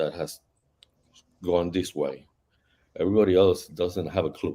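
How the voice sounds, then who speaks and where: A man with a Spanish accent speaks in a dark, mellow tone. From Puerto Rico, Ponce. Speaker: novelist and Ifa practitioner. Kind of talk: panel discussion. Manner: halting.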